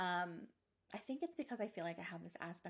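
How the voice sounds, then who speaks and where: At a moderate pace, a woman with vocal fry speaks at a fairly low pitch with ordinary pitch variation. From Nova Scotia. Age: 40s. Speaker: podcast host and psychic medium. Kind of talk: casual monologue. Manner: energetic.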